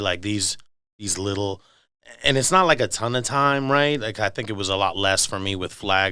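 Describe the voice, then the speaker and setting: A man speaks at a moderate pace with a bright, sharp tone and ordinary pitch variation, on a very clean recording with a silent background. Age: 40s. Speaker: podcast co-host. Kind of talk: casual podcast chat.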